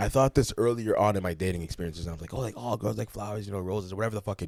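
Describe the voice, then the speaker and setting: A man talks at a very fast pace. His pitch is fairly low, with ordinary pitch variation. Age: 20s. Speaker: podcast host. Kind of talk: casual chat.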